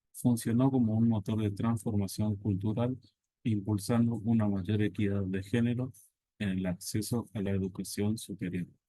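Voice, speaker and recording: A man's fairly low, dark, mellow voice in a flat monotone at a moderate pace. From Argentina, Corrientes province. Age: 30s. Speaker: teacher. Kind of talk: presentation reading a prepared academic text. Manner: formal.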